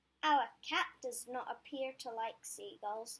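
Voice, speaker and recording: A woman's high-pitched, put-on character voice at a fairly slow pace, with ordinary pitch variation. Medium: read story.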